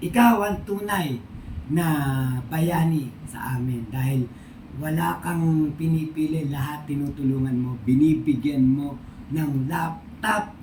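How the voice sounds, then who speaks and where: Noticeable background noise sits behind the voice. The words come at a very slow pace. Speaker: vlogger. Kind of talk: casual thank-you vlog.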